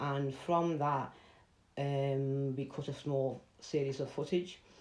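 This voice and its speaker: Very deep, low pitch from a woman, monotone and flat, at a very slow pace, with audible room echo. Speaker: artist. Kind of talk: online presentation talk.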